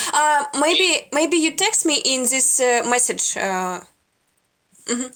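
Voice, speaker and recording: A woman with a Russian accent speaks very slowly, her pitch high and her tone bright and sharp. Her pitch swings very widely while her loudness stays very even. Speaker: video chat stranger. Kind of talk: casual chat. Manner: halting.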